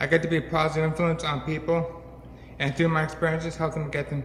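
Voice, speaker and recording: Very fast speech with audible room echo. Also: man. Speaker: brain injury survivor and peer mentor. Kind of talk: public talk. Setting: stage with audience. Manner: halting.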